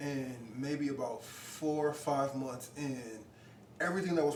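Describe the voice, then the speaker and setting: A man speaks with a fairly high pitch. Audible room echo and noticeable background noise come through. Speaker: podcast guest. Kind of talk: casual chat.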